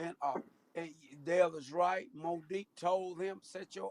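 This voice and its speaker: In an American accent, a man talks at a fairly slow pace with a high pitch, recorded dry and close with no echo. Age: 50s. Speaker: podcast co-host. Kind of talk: casual chat. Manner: animated.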